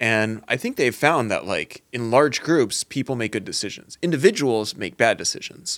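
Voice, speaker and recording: A man with a plain, everyday voice and medium pitch talks with ordinary pitch variation and hardly any pauses. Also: moderate pace. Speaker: podcast co-host. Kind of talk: casual banter.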